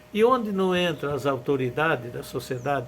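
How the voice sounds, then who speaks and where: Noticeable background noise sits behind a man's voice. He speaks at a fairly high pitch with lively intonation. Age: 70s. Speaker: former mayor. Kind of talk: interview storytelling.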